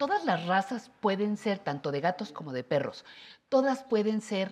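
Her pitch at a medium level, a woman speaks at a fairly slow pace with very wide pitch swings. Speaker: TV host. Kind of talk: talk show interview. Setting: TV studio.

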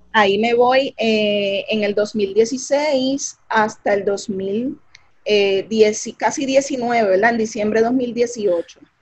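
Speaking at a very slow pace with hardly any pauses, a woman with a fairly high, somewhat breathy voice keeps her intonation fairly even. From Puerto Rico, Carolina. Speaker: physician, physiatrist. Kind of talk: interview about her life story.

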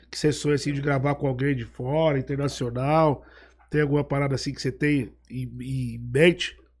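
On a very clean recording with a silent background, a man is speaking. His pace is moderate. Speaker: podcast host. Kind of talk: casual chat.

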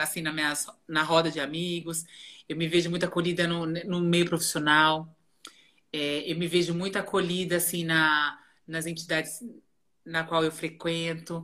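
Taking long, frequent pauses, a woman speaks in a bright, sharp tone at a fairly low pitch with monotone, flat intonation. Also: moderate pace. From Greater São Paulo, Brazil. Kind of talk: casual interview chat.

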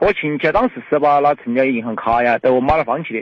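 A man speaks with a Chongqing accent. His pitch is fairly high. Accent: Fengdu dialect (Sichuanese). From Fengdu, Chongqing. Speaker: caller. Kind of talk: phone-in personal problem. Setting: phone call. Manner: halting.

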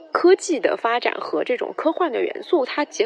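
There is noticeable background noise. The speaker keeps a moderate pace. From Guizhou, China. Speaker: film podcast guest. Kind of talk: prepared film review.

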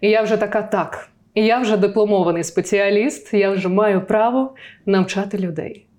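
Using an ordinary speaking voice, a woman talks at a moderate pace and medium pitch with fairly even intonation. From southern Ukraine, Zaporizhzhia region (Tokmak). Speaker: voice and diction coach. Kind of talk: interview.

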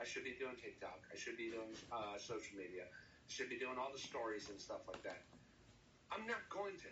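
A man with an American accent talks at a moderate pace, with audible room echo around him. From New Jersey. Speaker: country-rap musician. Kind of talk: casual interview.

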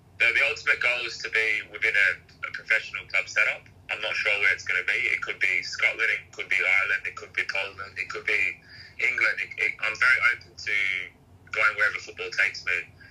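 Noticeable background noise sits under a man talking at a very fast pace. His loudness swings widely. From Western Sydney, Australia. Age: 30s. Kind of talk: casual interview chat.

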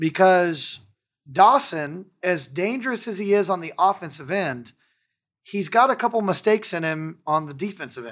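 A man with an American accent speaks in a high pitch with lively intonation and big swings in loudness, in a very clean recording with a silent background. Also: moderate pace. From Texas. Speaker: football fan podcast host. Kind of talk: casual chat. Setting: studio.

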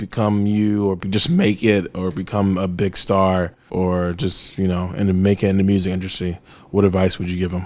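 A man's plain, everyday voice with an American accent, fairly low in pitch, at a moderate pace. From Nigerian American. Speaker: podcast host. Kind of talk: casual interview. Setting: hotel room.

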